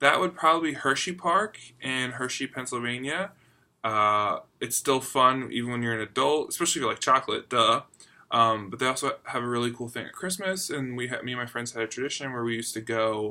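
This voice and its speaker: The speaker has an American accent and ordinary pitch variation, talking at a fairly quick pace. It is a very clean recording with a silent background. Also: man, medium pitch for a man. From US, Philadelphia. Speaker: book vlogger. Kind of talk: casual chat.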